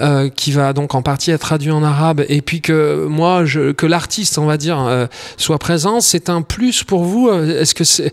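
An ordinary speaking voice from a man, fairly high in pitch, with ordinary pitch variation at a fairly slow pace. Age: 40s. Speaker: podcast host and singer. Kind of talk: casual interview. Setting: on location in Tunis.

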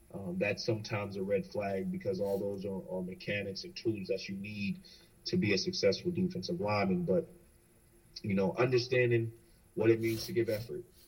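Somewhat breathy and fairly low in pitch, a man with an American accent talks at a fairly quick pace with very wide pitch swings. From North Carolina. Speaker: college football coach. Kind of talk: coaching interview.

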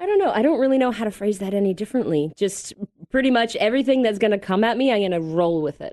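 A woman with a Canadian accent speaks at a medium pitch with lively intonation, in an ordinary speaking voice. The background is quiet. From Canada, Mississauga near Toronto. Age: 30s. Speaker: podcast guest. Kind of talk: casual interview. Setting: studio.

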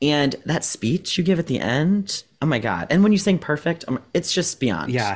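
On a very clean recording with a silent background, a man with an American accent speaks at a fairly high pitch, somewhat breathy, with lively intonation. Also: moderate pace. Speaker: podcast co-host. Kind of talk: casual interview. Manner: excitable.

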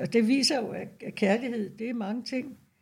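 A woman speaks in a fairly high pitch. Vocal fry runs through her voice. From Denmark, North Zealand. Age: 70s. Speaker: retired nurse. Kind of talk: interview. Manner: halting.

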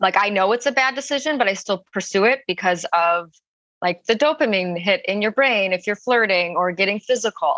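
With a normal speaking voice, a woman at medium pitch uses lively intonation in a dry, close sound with no echo. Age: 20s. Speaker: advice seeker. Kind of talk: personal advice conversation.

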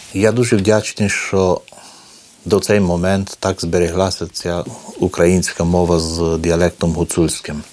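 The man talks fairly slowly in a very deep, low pitch. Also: fairly even intonation. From Romania, Maramureș, Hutsul Ukrainian village. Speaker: cultural centre director and foundation head. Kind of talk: interview testimony. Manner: halting, many hesitations.

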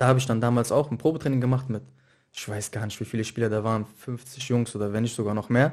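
A man talks at a fairly quick pace in an ordinary speaking voice, with a medium pitch and ordinary pitch variation. The background is quiet. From Mainz, Germany. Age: 20s. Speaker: professional footballer. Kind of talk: casual interview.

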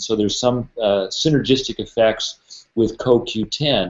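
At a fairly slow pace, a man talks in a medium pitch with a plain, everyday voice. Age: 50s. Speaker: naturopathic physician. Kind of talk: interview.

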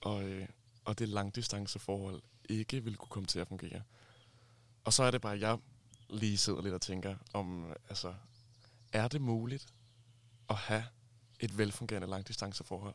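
Delivery at a moderate pace comes with fairly even intonation and long, frequent pauses. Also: man, fairly low pitch for a man. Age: 20s. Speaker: friend of the hosts. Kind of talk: casual chat. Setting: summer house.

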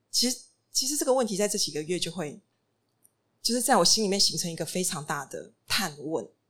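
A woman's mid-range voice with very wide pitch swings. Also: long, frequent pauses, big swings in loudness. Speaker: restaurant and bookstore founder. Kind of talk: panel talk. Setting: stage with audience.

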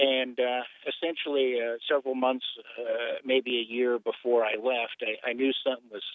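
Monotone, flat intonation from a man with a medium-pitched voice, moderate in pace. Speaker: caller. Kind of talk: testimony. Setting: phone call. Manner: halting.

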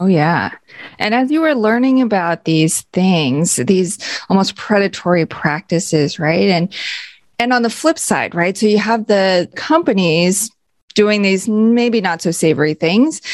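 Her voice is an unremarkable speaking voice, medium in pitch, and this woman talks at a fairly slow pace with lively intonation. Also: very even loudness. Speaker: podcast co-host. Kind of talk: podcast hosting, interview.

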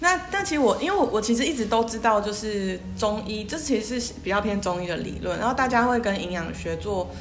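A woman's fairly high voice with lively intonation, at a fairly quick pace with hardly any pauses, amid audible room echo and noticeable background noise. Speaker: podcast co-host, older sister. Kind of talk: casual chat.

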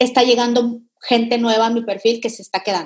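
Speaking in a Mexican accent, a woman has a high pitch. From Mexico. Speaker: digital consultant. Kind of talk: interview.

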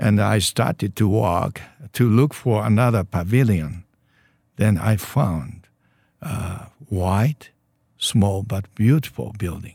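Speaking very slowly with long, frequent pauses, a man with a Japanese accent uses a fairly low, somewhat breathy voice and lively intonation. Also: very clean recording, silent background. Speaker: church leader. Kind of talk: interview. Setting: studio. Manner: halting.

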